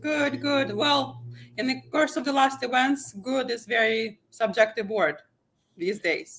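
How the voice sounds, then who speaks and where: A woman speaks at a fairly high pitch with vocal fry and very wide pitch swings. Her pace is fairly slow. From eastern Ukraine. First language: Ukrainian or Russian. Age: 30s. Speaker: guest interviewee. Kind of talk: interview.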